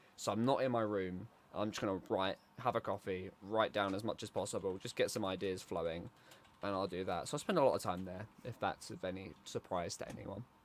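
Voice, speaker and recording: Quiet and fairly quick, a man with a British accent speaks with ordinary pitch variation. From Britain. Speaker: podcast co-host. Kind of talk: casual chat. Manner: quiet, calm.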